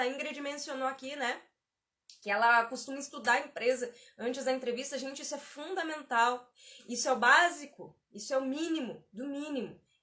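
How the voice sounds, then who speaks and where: A woman talks at a fairly quick pace in a high-pitched, raised and projected voice. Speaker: career coach. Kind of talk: live stream tutorial. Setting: live stream. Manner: conversational, repetitive.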